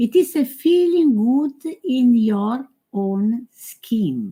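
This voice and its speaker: With an Italian accent, a woman uses a fairly high pitch, a dark, mellow tone and very wide pitch swings. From Italy. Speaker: yoga teacher. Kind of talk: conference talk. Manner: halting.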